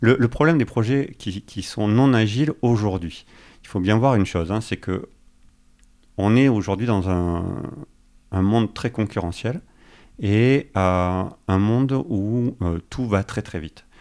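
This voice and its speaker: Fairly low in pitch, a man speaks at a very slow pace with long, frequent pauses and ordinary pitch variation. The recording is very clean with a silent background. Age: 40s. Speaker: agile coach. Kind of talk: casual interview.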